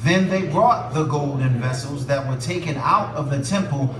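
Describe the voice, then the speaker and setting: There is noticeable background noise. A man speaks with ordinary pitch variation. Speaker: pastor. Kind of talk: scripture reading in sermon. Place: church.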